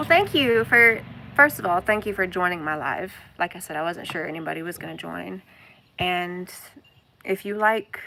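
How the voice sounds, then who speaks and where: A woman with a Southern accent and ordinary pitch variation. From US South, Arkansas. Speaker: homesteading and spirituality vlogger. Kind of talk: casual live stream chat. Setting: outdoors, floating in a kayak on a pond.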